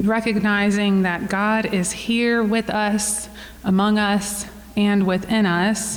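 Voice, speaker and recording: Over noticeable background noise and audible room echo, a woman speaks at a very slow pace in a monotone, flat intonation with very even loudness. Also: medium pitch for a woman. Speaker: church forum moderator. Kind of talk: event introduction; guided breath prayer. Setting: room with live audience.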